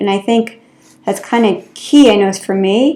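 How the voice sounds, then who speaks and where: A plain, everyday voice with fairly even intonation at a moderate pace. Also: woman. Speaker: occupational therapist. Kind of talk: health talk video.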